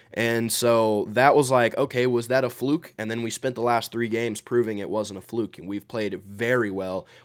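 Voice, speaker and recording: A man talks at a moderate pace with a medium pitch and fairly even intonation, barely pausing. He has a plain, everyday voice. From Georgia, US. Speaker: sports content creator. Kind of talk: casual sports talk.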